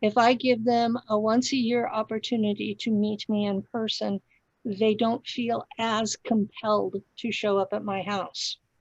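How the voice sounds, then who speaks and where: A woman speaks at a fairly slow pace in a fairly high, somewhat breathy voice with monotone, flat intonation. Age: 60s. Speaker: podcast host, claimed former secret space pilot. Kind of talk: interview.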